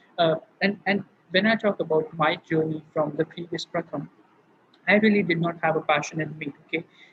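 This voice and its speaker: A high-pitched male voice with an Indian accent, a moderate pace, and ordinary pitch variation. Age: young. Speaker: student speaker. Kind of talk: online panel talk.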